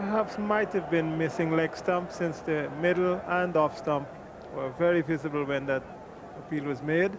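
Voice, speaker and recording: Over noticeable background noise, a man talks at a moderate pace. His pitch is fairly high, with ordinary variation. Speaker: cricket commentator. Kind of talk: live cricket commentary.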